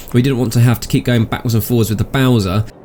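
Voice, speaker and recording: Noticeable background noise surrounds a man speaking with a British accent. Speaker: gaming video host. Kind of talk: gameplay commentary. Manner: soft-spoken.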